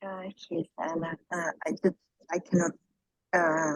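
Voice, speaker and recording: A woman with a non-native accent, fairly low in pitch, at a fairly slow pace. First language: not English. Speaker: workshop participant. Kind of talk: casual sharing. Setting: video call, camera off, late night. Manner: halting.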